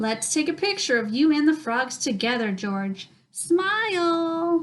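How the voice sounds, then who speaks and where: A woman uses a put-on character voice with a warm tone and high pitch. She talks at a fairly slow pace. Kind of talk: bedtime story. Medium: read story. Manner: warm, encouraging.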